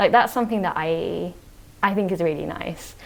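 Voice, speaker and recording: Speaking fairly quickly, a woman uses a fairly low pitch with ordinary pitch variation. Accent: British. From UK, British-born Chinese. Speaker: podcast guest. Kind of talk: casual chat.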